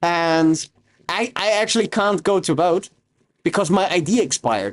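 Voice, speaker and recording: Ordinary pitch variation in a male voice. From Austria. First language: German. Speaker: streamer. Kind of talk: casual chat. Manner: casual, halting with repeats.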